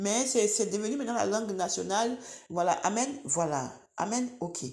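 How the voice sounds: At a fairly quick pace, a woman with an Ivorian accent speaks at a medium pitch with ordinary pitch variation and a slightly mellow tone.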